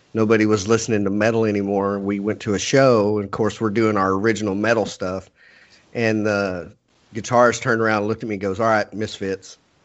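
A man speaks with a Texan accent at a fairly low pitch. His intonation is flat and monotone. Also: fairly quick pace. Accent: Texan American. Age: 40s. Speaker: podcast host. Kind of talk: casual interview chat.

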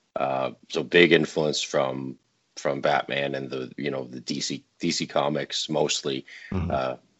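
A man speaks in a very deep, low pitch with vocal fry. His intonation is monotone and flat. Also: big swings in loudness. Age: 30s. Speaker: comic book creator. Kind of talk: interview. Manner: halting.

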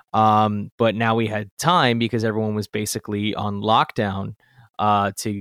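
A man speaks in a plain, everyday voice at medium pitch and a moderate pace. The sound is dry and close with no echo, on a very clean recording with a silent background. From Canada. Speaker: audio producer and musician. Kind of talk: casual chat.

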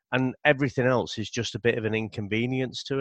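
Against a quiet background, a man with a British accent speaks at a moderate pace in a dry, close sound with no echo. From Britain. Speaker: comics podcaster. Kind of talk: casual chat.

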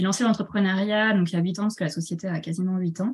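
A somewhat breathy quality colors this voice. The melody of the speech holds fairly level. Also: woman. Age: 30s. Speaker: shop owner and entrepreneur. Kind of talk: interview. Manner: hesitant, many fillers.

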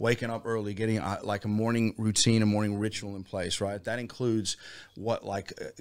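A man's monotone, flat delivery at a very fast pace, in a very clean recording with a silent background. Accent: American. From Virginia, US (near Washington DC). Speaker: hip-hop musician, band leader. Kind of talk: casual interview chat.

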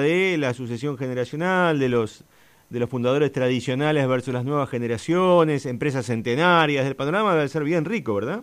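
With a Rioplatense accent, a man talks at a fairly quick pace in a fairly high pitch with lively intonation. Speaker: radio host. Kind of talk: radio interview.

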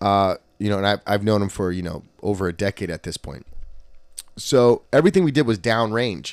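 A man's plain, everyday voice, fairly low and fairly quick, with ordinary pitch variation, in a dry, close sound with no echo on a very clean recording with a silent background. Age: 30s. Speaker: jiu-jitsu academy owner and podcast host. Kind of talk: casual chat. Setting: in the academy after class.

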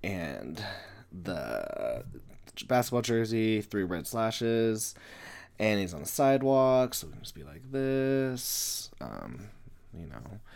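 Speaking at a very slow pace, a man uses lively intonation, and his loudness swings widely. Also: medium pitch for a man. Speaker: comic artist and podcaster. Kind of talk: tutorial. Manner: halting.

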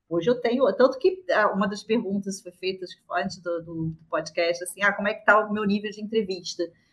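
In a Rio de Janeiro accent, a woman speaks at a moderate pace and medium pitch with ordinary pitch variation. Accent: Carioca Brazilian Portuguese. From Brazil, Rio de Janeiro. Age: 40s. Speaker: product manager. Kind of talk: casual interview.

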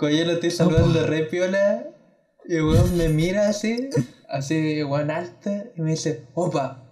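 A man's high voice at a fairly slow pace, with audible room echo. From Chile, Valparaíso region. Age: 20s. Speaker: university student, podcast co-host. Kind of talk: casual chat.

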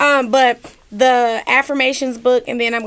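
A woman with a plain, everyday voice, fairly even intonation and a moderate pace. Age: 30s. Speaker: author. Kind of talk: casual interview.

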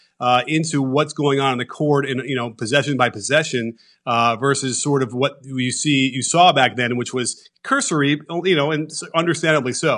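The man's voice sits fairly high, and he speaks at a moderate pace with fairly even intonation. The background is quiet. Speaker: basketball analyst and video breakdown creator. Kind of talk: casual interview.

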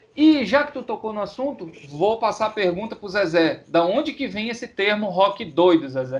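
With noticeable background noise behind him, a man speaks in a high pitch with very wide pitch swings, big swings in loudness and hardly any pauses. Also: moderate pace. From Pará, Brazil. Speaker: podcast co-host. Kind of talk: casual chat.

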